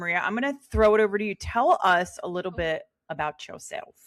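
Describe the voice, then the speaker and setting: A woman at a fairly quick pace with lively intonation, in a very clean recording with a silent background. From Philadelphia, US. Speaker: podcast host. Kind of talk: casual chat. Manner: talkative.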